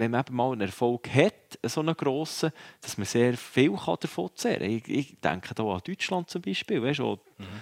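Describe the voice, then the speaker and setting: A man speaks at a medium pitch with lively intonation and a Swiss accent. The recording is very clean and dry, close with no echo, over a silent background. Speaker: ice hockey pundit, former player. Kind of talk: casual chat. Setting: at the world championship venue.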